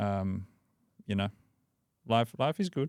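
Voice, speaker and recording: In a very clean recording with a silent background, a man with an Australian accent talks at a fairly quick pace in a fairly low pitch. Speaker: breathwork coach and author. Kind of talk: podcast interview.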